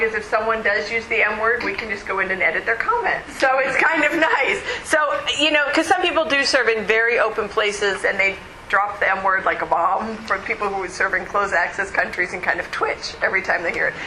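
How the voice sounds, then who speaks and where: Lively intonation carries a fairly quick pace, with noticeable background noise and audible room echo. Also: woman, fairly high pitch for a woman. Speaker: conference speaker. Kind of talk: conference talk. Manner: animated.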